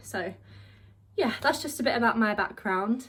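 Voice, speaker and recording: The speaker is a woman with a southern English accent. She talks at a moderate pace. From southeast England, Kent. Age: 20s. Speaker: vlogger, drama student. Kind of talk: casual vlog monologue.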